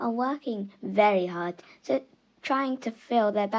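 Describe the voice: Simple, unadorned reading aloud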